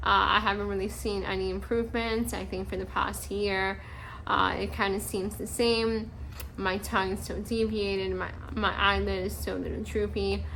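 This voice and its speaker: A woman at a moderate pace, with audible room echo. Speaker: cancer survivor vlogger. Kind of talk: personal health update vlog. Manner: halting, many fillers and pauses.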